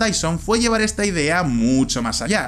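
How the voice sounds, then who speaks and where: Speaking in a Valladolid accent, a man sounds animated at a moderate pace, his pitch swinging very widely over a quiet background. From Spain, Valladolid; Spain. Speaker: science explainer video host. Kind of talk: scripted narration. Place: home room. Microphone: studio mic.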